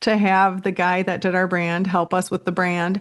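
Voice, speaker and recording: The speaker has a Minnesotan accent and a moderate pace. The background is quiet. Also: woman. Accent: Minnesota. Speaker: real estate entrepreneur and creator. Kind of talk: podcast interview.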